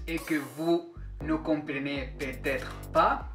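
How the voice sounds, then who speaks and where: Someone speaks in a Spanish accent. Music plays in the background. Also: man. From Spain. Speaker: Spanish teacher. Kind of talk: language lesson to camera.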